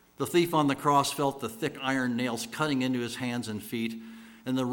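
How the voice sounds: A natural reading voice is heard here.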